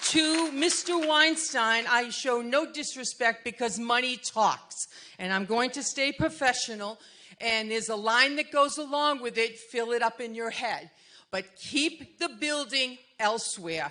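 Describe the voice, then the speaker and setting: A woman talks at a fairly slow pace with a high pitch. Her tone is bright and sharp, with ordinary pitch variation. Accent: Massachusetts. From Massachusetts. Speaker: resident speaking at community meeting. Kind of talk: public comment at community meeting. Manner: animated.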